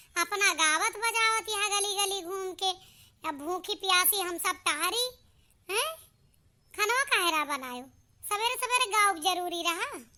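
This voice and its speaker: In a cartoonish character voice, a woman squeaks at an extremely high pitch with lively intonation, moving at a fairly slow pace with long, frequent pauses. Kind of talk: comic village cartoon. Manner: grumbling, complaining.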